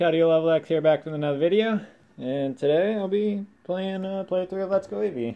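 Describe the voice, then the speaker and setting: A man speaks at a fairly quick pace. His pitch is high, with ordinary pitch variation. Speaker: gaming channel host. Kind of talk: casual gameplay commentary. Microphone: phone near.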